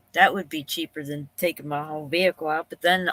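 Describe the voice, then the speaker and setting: A woman's bright, sharp voice with a Pennsylvania accent and fairly even intonation, in a dry, close sound with no echo. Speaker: live streamer. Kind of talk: casual live stream chat. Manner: rambling, thinking out loud.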